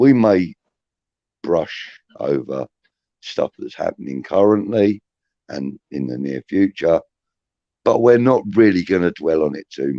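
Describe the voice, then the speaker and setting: With a dark, mellow tone and a fairly low pitch, a man speaks at a fairly slow pace, his voice making very wide pitch swings and big swings in loudness, broken by long, frequent pauses in a dry, close sound with no echo. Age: 60s. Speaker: podcast host. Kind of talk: casual chat.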